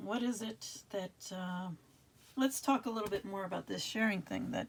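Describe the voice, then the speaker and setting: A woman with a medium pitch, vocal fry, ordinary pitch variation, and a moderate pace. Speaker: tarot reader. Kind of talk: tarot reading. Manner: casual, halting.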